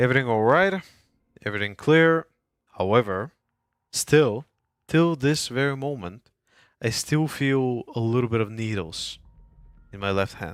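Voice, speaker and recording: With a non-native accent, a man of medium pitch speaks at a fairly slow pace with long, frequent pauses and lively intonation. The recording is very clean, with a silent background. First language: not English. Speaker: video game streamer. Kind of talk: casual live stream chat.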